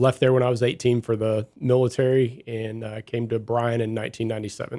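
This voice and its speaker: This man's medium-pitched voice has a dark, mellow tone and monotone, flat intonation. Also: fairly quick pace. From US Midwest, Southern Illinois. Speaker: police chief. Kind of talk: radio interview.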